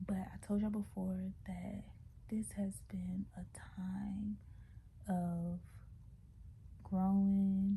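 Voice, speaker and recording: Whispering at a very slow pace, a woman leaves long, frequent pauses. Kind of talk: casual talk to camera. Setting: at home, away from desk. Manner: hesitant, many fillers.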